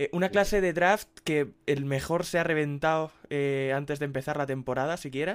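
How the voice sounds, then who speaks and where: A man speaks at a moderate pace with hardly any pauses, in an unremarkable speaking voice with fairly high pitch and ordinary pitch variation. The recording is very clean, with a silent background. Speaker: sports editor. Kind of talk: casual chat.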